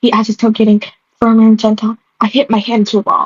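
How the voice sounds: Nothing much stirs in the background. Over it comes a natural reading voice.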